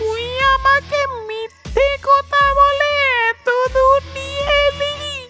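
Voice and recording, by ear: At a slow pace, a cartoonish character voice with a bright, sharp tone and fairly even intonation plays over faint music in the background.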